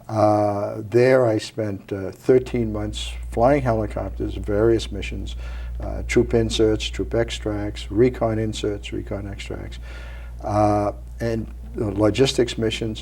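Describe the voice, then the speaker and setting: This man speaks with a Maine accent. His pace is very slow. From Maine, Portland. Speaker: Vietnam veteran, retired Marine colonel. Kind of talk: interview.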